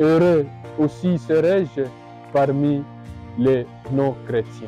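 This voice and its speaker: A man talks at a very slow pace, his voice fairly high with ordinary pitch variation. Music plays in the background. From Bukavu, South Kivu, DR Congo. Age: 30s. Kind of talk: personal vocation testimony.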